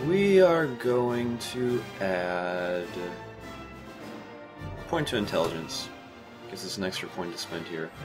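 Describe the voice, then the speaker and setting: Clear music plays in the background. The speech has long, frequent pauses. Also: fairly slow pace. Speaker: game commentator. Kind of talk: video game let's play commentary.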